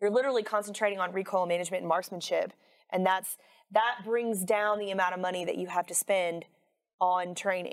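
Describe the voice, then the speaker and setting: Her speech comes at a fairly quick pace in a plain, everyday voice, medium in pitch for a woman, with fairly even intonation. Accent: American. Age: 40s. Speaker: firearms instructor. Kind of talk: casual interview.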